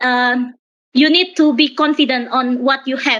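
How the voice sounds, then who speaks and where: A woman's high voice with an Indonesian accent, fairly slow delivery and fairly even intonation. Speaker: young pharmacist, panel speaker. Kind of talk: panel discussion answer. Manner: halting, many fillers.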